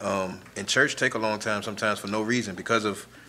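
A man talks at a fairly quick pace and fairly low pitch. His intonation is flat and monotone, with light background noise. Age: 30s. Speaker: young adult church member, motivational speaker. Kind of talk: casual chat. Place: studio.

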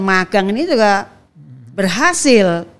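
A woman speaking at a fairly slow pace. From Indonesia. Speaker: politician, legislator; guest. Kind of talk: interview conversation. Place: studio. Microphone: studio mic.

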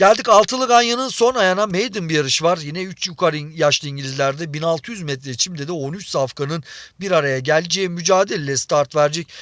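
At a fairly quick pace, a man speaks in a high voice with lively intonation. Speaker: horse racing tipster. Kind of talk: betting tips commentary.

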